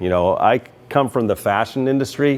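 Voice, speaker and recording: A man speaks over noticeable background noise. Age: 60s. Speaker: RC track owner and video host. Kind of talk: opinion rant to camera. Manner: casual, many filler words.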